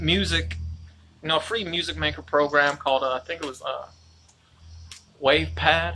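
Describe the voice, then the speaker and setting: A man with a bright, sharp tone speaks at a medium pitch and a moderate pace. His pitch swings very widely, and he takes long, frequent pauses. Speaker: independent musician and vlogger. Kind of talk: live video monologue. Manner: loud; rambling, hesitant.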